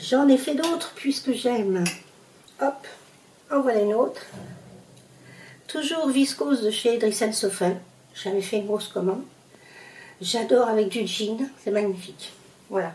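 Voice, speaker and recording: A woman speaks at a fairly slow pace, leaving long, frequent pauses. Her fairly high pitch moves with lively intonation. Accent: Parisian. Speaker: sewing youtuber. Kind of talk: sewing tutorial. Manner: hesitant, many fillers; casual, conversational.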